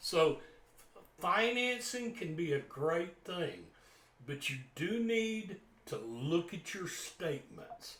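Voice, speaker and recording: Very slow, lively intonation from a high-pitched man with a Southern US accent, broken by long, frequent pauses. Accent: Southern US drawl. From US South. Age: old. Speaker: guitar teacher. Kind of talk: casual talk to camera. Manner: halting, many repeated words.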